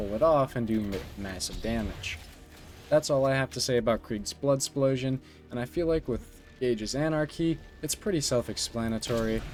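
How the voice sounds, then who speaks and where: Over music in the background, a man talks at a fairly quick pace and medium pitch. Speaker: gaming YouTuber. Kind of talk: unscripted gaming commentary. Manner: halting, with filler words and stutters.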